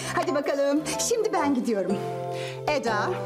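Clear music sounds in the background. A woman talks over it. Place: studio.

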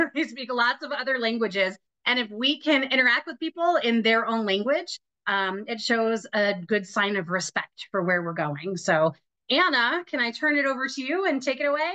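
A woman speaks at a moderate pace in a high voice, her pitch swinging very widely. The background is quiet. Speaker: trip group leader hosting a meeting. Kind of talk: meeting host introduction. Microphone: video call.

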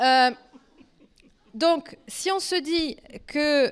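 Against a quiet background, a woman talks with lively intonation in a French accent. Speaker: political science researcher; speaker. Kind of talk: academic lecture. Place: stage. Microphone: handheld.

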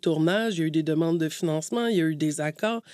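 On a very clean recording with a silent background, a woman speaks in a fairly low voice with a dark, mellow tone and ordinary pitch variation. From Quebec, Montreal; Cree and Québécois parents. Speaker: podcast host, broadcast journalism manager. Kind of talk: interview.

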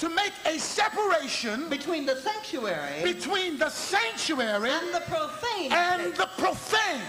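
A man speaks in an extremely high, raised and projected voice with lively intonation at a fairly slow pace, with hardly any pauses, over noticeable background noise. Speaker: bishop, gospel preacher. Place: church. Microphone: podium.

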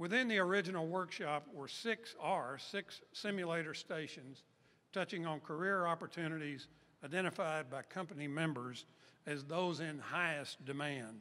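A man's fairly high-pitched voice, bright and sharp in tone, at a moderate pace. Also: ordinary pitch variation. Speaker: event host and chamber of commerce executive. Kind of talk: formal event speech at a press event. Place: hall. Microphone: podium.

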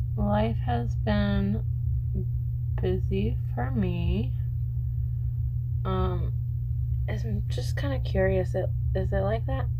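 Loud background noise surrounds a woman's voice. She takes long, frequent pauses. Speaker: book vlogger. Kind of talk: casual vlog chat. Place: home room. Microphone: phone near.

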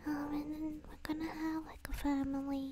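The voice is soft-spoken and moves at a fairly slow pace. Noticeable background noise sits behind it. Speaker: virtual streamer. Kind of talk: casual stream chat. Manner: soft, sleepy, affectionate murmur.

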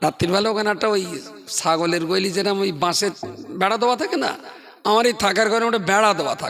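The voice shows ordinary pitch variation, with noticeable noise in the background. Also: man, high pitch for a man. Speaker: Islamic preacher. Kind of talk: sermon.

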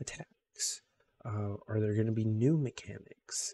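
Soft-spoken and somewhat breathy, a man whispers over light background noise. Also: dry sound with no echo. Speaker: gaming YouTuber. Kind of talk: casual video monologue. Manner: soft-spoken, quiet; excited, with many filler words. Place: home room. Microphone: studio mic.

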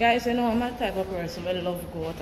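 The speaker is a woman. Noise in the background can be clearly noticed. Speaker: travel vlogger. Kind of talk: casual vlog chat. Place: street. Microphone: phone near.

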